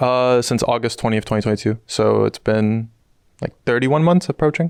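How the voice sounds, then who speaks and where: An ordinary speaking voice: a man with an American accent at medium pitch, fairly quick pace, and ordinary pitch variation. His loudness stays very even, the sound is dry and close with no echo, and the background is quiet. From US Northeast, New York City. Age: 20s. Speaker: pro esports player. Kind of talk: interview.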